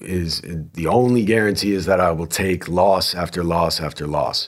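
At a moderate pace, a man with an American accent and an unremarkable speaking voice talks with lively intonation. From New Jersey. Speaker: podcast host, former lawyer. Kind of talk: solo podcast commentary. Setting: studio recording.

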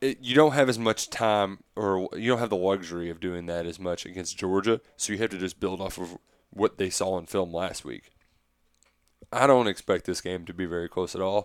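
Here a man's pitch is very deep and low. He talks at a moderate pace with ordinary pitch variation. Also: very clean recording, silent background. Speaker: football podcast host. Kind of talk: casual chat.

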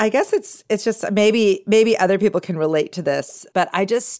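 A woman at a moderate pace with ordinary pitch variation, in a very clean recording with a silent background. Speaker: author and parenting podcaster. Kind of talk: casual chat.

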